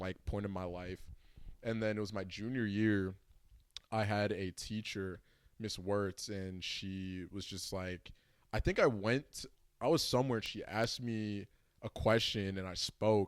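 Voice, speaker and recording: Fairly even intonation and a fairly low pitch mark a man's speech at a moderate pace. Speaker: creative entrepreneur. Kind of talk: casual interview chat. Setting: at the guest's home.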